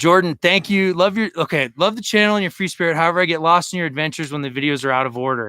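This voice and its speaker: A man's energetic, bright, sharp voice, high-pitched for a man, at a very fast pace with hardly any pauses and ordinary pitch variation, on a very clean recording with a silent background. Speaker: overlanding vlogger. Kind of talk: live stream chat.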